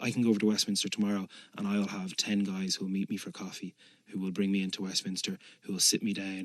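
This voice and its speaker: Speaking very fast with a Dublin accent, a man uses a fairly low pitch, in a dry, close sound with no echo. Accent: Dublin Irish. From Dublin, Ireland. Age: 30s. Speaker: politician. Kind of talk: interview answer.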